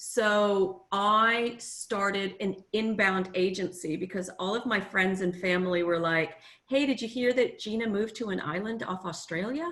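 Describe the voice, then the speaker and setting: In an American accent, a woman talks in a normal speaking voice at medium pitch. Her pace is moderate, with ordinary pitch variation. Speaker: tourism marketing consultant. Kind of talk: workshop presentation. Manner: casual, many filler ums.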